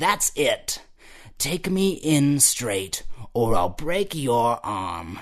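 A man speaks in a put-on character voice that is raised and projected, moving at a very slow pace with a fairly high pitch and very wide pitch swings. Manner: sneering, threatening.

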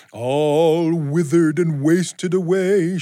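This man's put-on character voice sits high in pitch. His delivery comes at a fairly slow pace. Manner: spooky, eerie.

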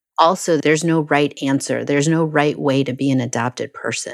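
A woman with an American accent and a very deep, low pitch speaks with vocal fry and fairly even intonation on a very clean recording with a silent background. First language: Spanish (lost in childhood). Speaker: international adoptee. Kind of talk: interview testimony.

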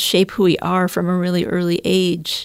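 In a very clean recording with a silent background, a normal speaking voice with an American accent talks at a fairly slow pace. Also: woman. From upstate New York. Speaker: writer and teacher. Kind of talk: casual chat.

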